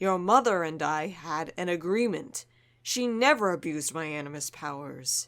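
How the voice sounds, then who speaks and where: The speaker uses a put-on character voice. The pitch is middle and the pace moderate. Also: very clean recording, silent background. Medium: audio drama. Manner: calm, firm.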